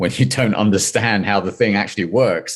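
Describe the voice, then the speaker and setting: A man speaks fairly quickly with a London accent. His fairly low voice rises and falls in a lively way. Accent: London English accent, still noticeable. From London, England. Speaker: venture capital investor. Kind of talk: interview.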